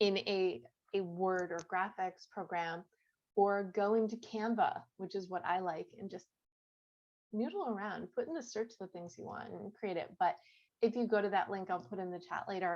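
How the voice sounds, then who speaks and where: At a moderate pace, a woman with an American accent speaks at a medium pitch with ordinary pitch variation, a normal speaking voice. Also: big swings in loudness. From US Midwest, Chicago suburbs. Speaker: author and goal-setting coach. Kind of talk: online class.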